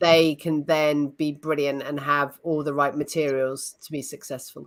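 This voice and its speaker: In a British accent, a woman with a very deep, low pitch talks at a moderate pace in a monotone, flat intonation, her loudness swinging widely. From United Kingdom. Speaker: facilitation trainer. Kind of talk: interview podcast.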